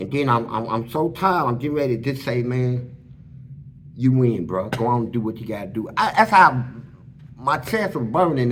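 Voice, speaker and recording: A man's somewhat breathy voice in an animated tone at a moderate pace, with audible room echo. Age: 60s. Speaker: former prisoner telling his life story. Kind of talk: storytelling interview.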